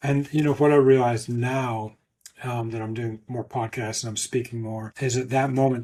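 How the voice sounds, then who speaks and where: Somewhat breathy and monotone, a man talks at medium pitch with flat intonation. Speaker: ultramarathon swimmer and motivational speaker. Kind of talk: podcast interview testimony.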